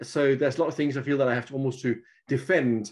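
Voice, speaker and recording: Here is a man with an unremarkable speaking voice, medium in pitch, with fairly even intonation. He talks at a fairly quick pace against a quiet background. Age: 50s. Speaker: guest sharing personal experience. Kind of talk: casual chat.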